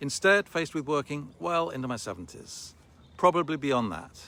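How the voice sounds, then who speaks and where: This man has an ordinary speaking voice with a fairly high pitch. His intonation is lively and his pace moderate. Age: 60s. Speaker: online business promoter. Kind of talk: sales pitch.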